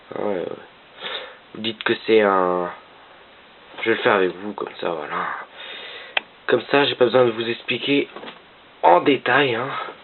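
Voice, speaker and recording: Speech stops often for long pauses while noticeable background noise runs underneath. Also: fairly slow pace. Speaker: gaming tutorial youtuber. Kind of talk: tutorial. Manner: speaking quietly; halting, many fillers.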